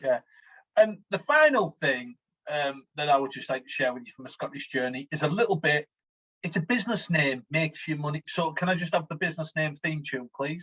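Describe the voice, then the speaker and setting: A man with a Teesside accent talks at a fairly quick pace, his fairly high pitch moving with ordinary variation. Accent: broad Teesside (smoggy). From Teesside, north-east England. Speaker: podcast co-host. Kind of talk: casual comedic chat. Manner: animated.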